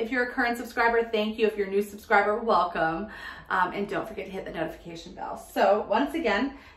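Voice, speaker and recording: A woman talks at a very fast pace with ordinary pitch variation. The room echo is audible. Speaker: home decor vlogger. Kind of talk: casual vlog chat. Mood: cheerful, cozy. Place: home room. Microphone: camera far.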